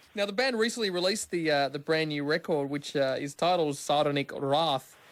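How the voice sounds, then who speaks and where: In an Australian accent, a man with a fairly high pitch talks at a fairly quick pace with ordinary pitch variation. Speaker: radio host. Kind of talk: radio interview.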